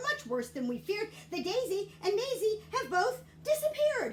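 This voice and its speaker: Doing a put-on character voice, a woman squeaks at an extremely high pitch with very wide pitch swings at a moderate pace, over clear background noise. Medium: read story.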